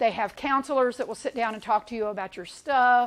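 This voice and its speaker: A woman speaks with a fairly high pitch and ordinary pitch variation in a very clean recording with a silent background. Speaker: senior resource center program coordinator. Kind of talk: presentation to caregivers. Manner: fast.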